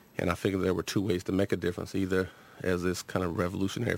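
A man with an American accent, very deep and low in pitch, monotone and flat in intonation, at a very fast pace. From Los Angeles, Southern California. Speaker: university administrator and psychology professor. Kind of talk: radio interview. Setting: radio studio.

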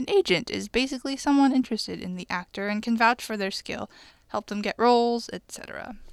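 Over a very clean recording with a silent background, a woman with an unremarkable speaking voice talks at a fairly quick pace and a fairly high pitch, with ordinary pitch variation, big swings in loudness and a dry, close sound with no echo. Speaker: radio host. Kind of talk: radio show hosting, announcements and interview. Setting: studio.

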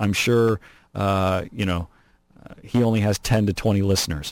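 The recording is very clean, with a silent background. A man with an ordinary speaking voice talks at a moderate pace, with a fairly low pitch and fairly even intonation. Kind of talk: angry rant.

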